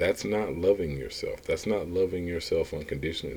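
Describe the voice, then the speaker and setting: Here a man is speaking. His pace is moderate. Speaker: motivational speaker / business coach. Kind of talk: motivational monologue. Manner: repetitive, emphatic.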